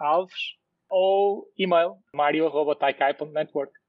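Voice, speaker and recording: This man speaks at a very slow pace. His intonation stays fairly even. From Portugal, Porto. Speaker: tech startup CEO. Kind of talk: podcast interview.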